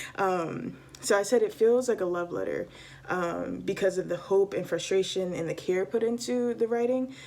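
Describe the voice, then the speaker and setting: A woman with an American accent speaks at a medium pitch and a moderate pace, with ordinary pitch variation. Noticeable background noise runs under her voice. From US. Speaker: book reviewer. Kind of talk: casual review vlog. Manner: hesitant, many fillers.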